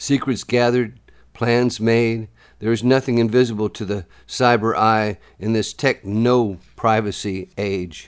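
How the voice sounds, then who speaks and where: At a fairly slow pace, a man with an ordinary speaking voice talks at medium pitch with fairly even intonation, in a very clean recording with a silent background. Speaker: poet. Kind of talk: poetry reading, spoken word. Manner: measured, rhythmic, deliberate delivery with pointed pauses; serious, urgent, warning tone.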